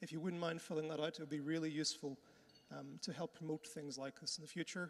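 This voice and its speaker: With a Northern Irish accent, a man talks at a very fast pace and a fairly high pitch. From Northern Ireland. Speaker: conference host. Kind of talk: conference hosting. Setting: conference hall with audience. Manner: casual, friendly.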